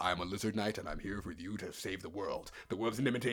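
A man puts on a character voice at a fairly low pitch, speaking very fast. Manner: heroic, grand.

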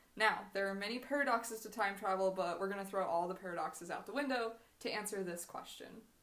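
An American-accented woman at medium pitch talks at a very fast pace with ordinary pitch variation over noticeable background noise. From Washington state, US. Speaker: podcast co-host, grad student. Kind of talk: scripted reading of prepared topic; casual chat.

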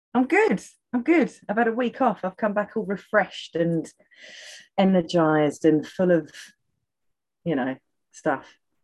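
A woman with a British accent speaks at medium pitch and a fairly slow pace, with lively intonation. Her pauses are long and frequent. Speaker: podcast co-host. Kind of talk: casual chat. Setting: video call.

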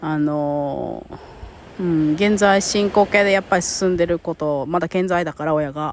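A woman's fairly low voice, an ordinary speaking voice, with fairly even intonation. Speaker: podcast host and life coach. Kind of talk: casual monologue.

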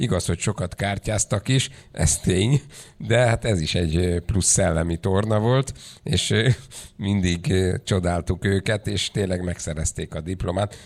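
On a very clean recording with a silent background, a man with a very deep, low voice speaks fairly slowly with ordinary pitch variation. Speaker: panel chair and moderator. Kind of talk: formal conference moderating. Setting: conference hall.

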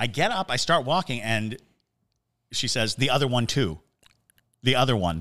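Animated and with lively intonation, a man of medium pitch speaks at a moderate pace with long, frequent pauses, on a very clean recording with a silent background. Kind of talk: casual chat, ghost story telling. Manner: animated, jokey, storytelling.

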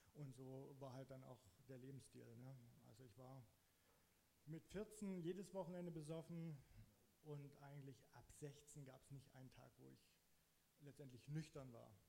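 Somewhat breathy and fairly high in pitch, a man with a dark, mellow tone speaks at a fairly slow pace with ordinary pitch variation, big swings in loudness and long, frequent pauses, in audible room echo. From eastern Saxony, Germany (Zittau Mountains). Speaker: church member giving testimony. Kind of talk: testimony. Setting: church stage, sharing a microphone.

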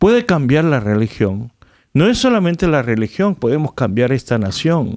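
A man with a Korean accent speaks in a fairly high voice. His pitch swings very widely against a quiet background. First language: Korean (speaking Spanish). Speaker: pastor. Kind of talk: radio interview.

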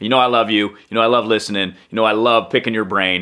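Fairly quick delivery in an ordinary speaking voice, the intonation fairly even. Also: man. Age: 40s. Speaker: radio talk show host and communication coach. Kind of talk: casual interview chat.

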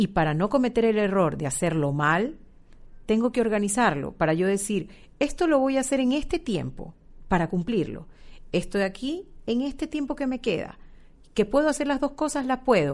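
A woman's fairly high voice with vocal fry and very wide pitch swings over a quiet background. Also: moderate pace. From Ecuador. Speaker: marketing manager. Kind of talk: interview. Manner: hesitant with fillers.

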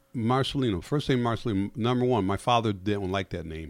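An unremarkable speaking voice from a man with an American accent, fairly quick pace and ordinary pitch variation, on a very clean recording with a silent background. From Connecticut, US. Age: 50s. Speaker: comedian. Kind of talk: casual chat. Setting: studio.

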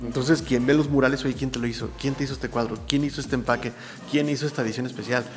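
Very fast speech from a man at medium pitch with fairly even intonation, amid noticeable background noise. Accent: Mexican. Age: 40s. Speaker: muralist and graphic artist. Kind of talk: interview. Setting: his art studio.

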